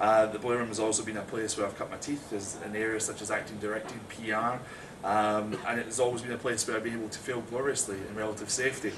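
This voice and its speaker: With a Scottish accent, a man speaks at medium pitch at a very fast pace in a monotone, flat way, with audible room echo and noticeable background noise. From Scotland. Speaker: theatre director and actor. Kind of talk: prepared talk to small audience. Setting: small live audience, recorded.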